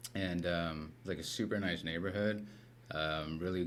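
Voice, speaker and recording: A man with a very deep, low pitch speaks in an American accent at a moderate pace. There is audible room echo. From US West Coast, Los Angeles. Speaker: recovery center founder, former addict. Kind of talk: casual chat. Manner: casual, filler-heavy.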